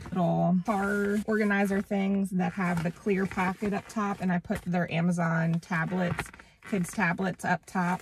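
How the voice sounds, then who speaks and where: There is light background noise as a woman speaks in a fairly low, somewhat breathy, monotone voice with flat intonation. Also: dry sound with no echo. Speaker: parent vlogger. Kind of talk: tutorial. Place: car. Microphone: phone near.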